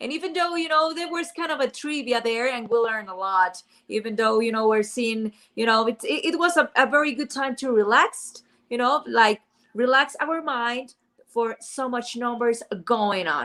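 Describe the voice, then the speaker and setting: With a Spanish accent, a woman talks at a moderate pace in a high-pitched, bright, sharp tone with lively intonation. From Mexico. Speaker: podcast host. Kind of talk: interview. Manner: halting, repeats words.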